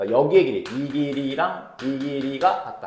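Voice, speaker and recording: Fairly quick speech from a man in a room with audible echo. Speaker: math tutor. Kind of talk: tutorial. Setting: recorded video lesson. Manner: fast; informal speech to students.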